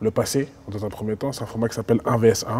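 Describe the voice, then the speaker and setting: A man speaks at a medium pitch, his tone dark and mellow. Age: 20s. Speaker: interviewer. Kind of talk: interview.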